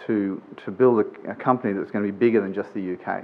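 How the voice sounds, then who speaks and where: A man with an Australian accent, a moderate pace and fairly even intonation. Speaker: business executive, conference speaker. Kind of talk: conference presentation. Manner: informal, with many fillers.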